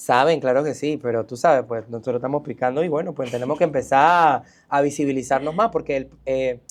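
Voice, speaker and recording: A man with a Colón accent, fairly high pitch and ordinary pitch variation, at a fairly quick pace with hardly any pauses. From Panama, Colón. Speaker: cultural center director. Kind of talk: interview conversation. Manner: animated.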